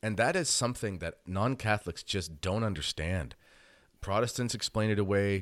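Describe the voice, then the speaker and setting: Man with a normal speaking voice, fairly low pitch, ordinary pitch variation and moderate pace. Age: 30s. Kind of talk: interview. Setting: video call.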